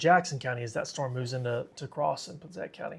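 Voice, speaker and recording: A man races along at a very fast pace. His fairly high voice is somewhat breathy. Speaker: storm tracker livestreamer. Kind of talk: live weather coverage. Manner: casual, conversational.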